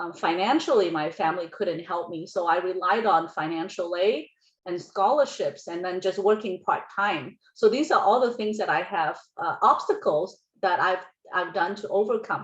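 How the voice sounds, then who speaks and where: A woman with a non-native accent speaks at a medium pitch and a moderate pace. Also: ordinary pitch variation. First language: not English. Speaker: college counselor. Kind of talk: workshop presentation. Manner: halting.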